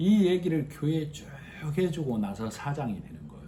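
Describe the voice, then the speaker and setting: Amid audible room echo, a man with a fairly high pitch and a dark, mellow tone speaks at a moderate pace, somewhat breathy, his pitch swinging very widely. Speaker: lay preacher leading small church Bible study. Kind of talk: sermon-style Bible teaching with congregation responses.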